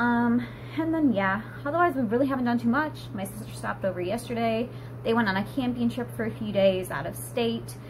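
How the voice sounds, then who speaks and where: Noticeable background noise and audible room echo surround the recording. A woman talks at a fairly quick pace. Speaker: vlogger, stay-at-home mom. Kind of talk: casual vlog chat. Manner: trying to speak quicker.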